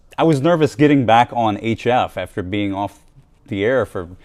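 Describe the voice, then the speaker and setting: A man speaks with a slight American accent. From Virginia, US South. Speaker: radio amateur at convention. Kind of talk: casual interview. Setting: convention studio. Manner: halting, many fillers.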